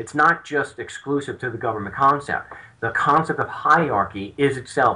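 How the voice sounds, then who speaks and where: The voice carries a Long Island accent and a bright, sharp tone. Its pitch variation is ordinary. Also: man. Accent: Long Island New York. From Long Island, New York (Suffolk County). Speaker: legal activist and author. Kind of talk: interview.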